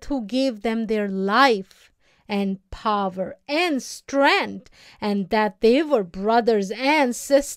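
Simply reading aloud, plain and direct

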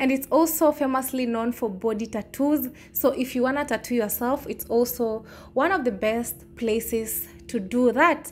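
Music sits in the background as the speaker goes at a moderate pace with ordinary pitch variation. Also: woman, high pitch for a woman. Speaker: travel vlogger. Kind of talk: casual vlog chat. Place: market. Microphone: phone near.

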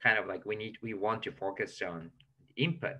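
Spoken at a very slow pace, the voice has a bright, sharp tone. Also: man. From Japan. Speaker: language teacher. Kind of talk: tutorial. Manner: hesitant, many fillers. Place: home room. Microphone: webcam.

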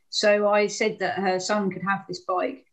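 A woman with a southern English accent at a moderate pace, over a quiet background. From England, Hastings. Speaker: anti-poverty campaigner. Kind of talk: online talk. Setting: video call. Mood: calm, reflective storytelling. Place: home room. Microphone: video call.

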